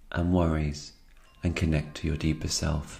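This man has a very deep, low pitch and a dark, mellow tone that is somewhat breathy. He talks at a moderate pace with monotone, flat intonation. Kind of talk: yoga nidra guided meditation.

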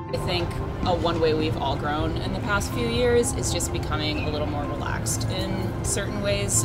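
A woman is speaking. Loud music plays behind her. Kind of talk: interview answer. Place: street. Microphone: handheld.

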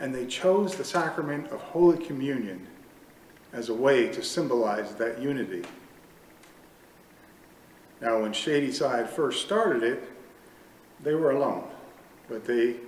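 A man speaks at a fairly slow pace with long, frequent pauses, with audible room echo and light background noise. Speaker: pastor. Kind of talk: sermon. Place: church.

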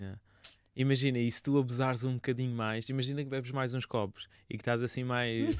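The man's delivery is fairly quick. His intonation stays flat and monotone. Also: medium pitch for a man. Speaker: radio interviewer host. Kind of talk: casual interview. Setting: radio studio.

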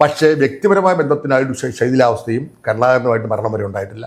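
The speaker is a man. His pitch moves in very wide swings. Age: 70s. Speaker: politician. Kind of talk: interview.

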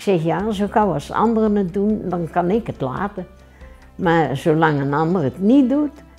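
Faint music plays behind a woman who talks at a medium pitch and a fairly slow pace. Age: 80s+. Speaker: local resident interviewee. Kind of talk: interview answer. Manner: casual, plain-spoken. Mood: earnest, matter-of-fact. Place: home room. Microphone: lapel.

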